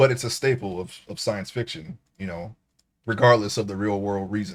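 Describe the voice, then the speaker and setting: Loudness swings widely as a man with a fairly low voice speaks at a moderate pace with ordinary pitch variation, on a very clean recording with a silent background. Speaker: streamer. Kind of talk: casual chat. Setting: live stream. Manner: halting.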